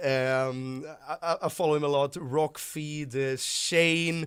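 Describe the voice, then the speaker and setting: A man with a strong Swedish accent talks at a very slow pace in a fairly high pitch, his intonation monotone and flat. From Sweden. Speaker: YouTuber, rock music commentator. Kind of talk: casual vlog monologue. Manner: halting, frequent repetitions and fillers.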